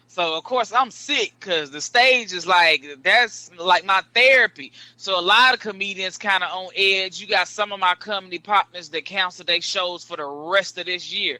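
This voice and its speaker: A raised, projected voice at a moderate pace with hardly any pauses. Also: man, high pitch for a man, ordinary pitch variation, dry, close sound with no echo. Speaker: comedian. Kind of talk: casual chat.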